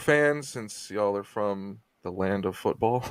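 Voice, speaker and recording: In an unremarkable speaking voice, a man talks at a fairly slow pace with lively intonation. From United States. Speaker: podcast host. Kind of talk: casual interview chat.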